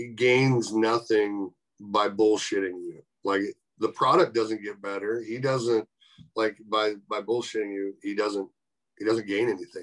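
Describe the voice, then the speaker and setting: A man's fairly low voice at a fairly slow pace with fairly even intonation, an unremarkable speaking voice. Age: 40s. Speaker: professional wrestler. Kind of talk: casual chat.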